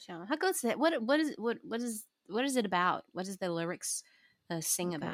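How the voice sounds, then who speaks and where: A woman's fairly high voice with very wide pitch swings and big swings in loudness, on a very clean recording with a silent background. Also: moderate pace. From Taiwan. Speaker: jazz singer and podcast co-host. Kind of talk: casual chat. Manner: animated, mixes Mandarin and English.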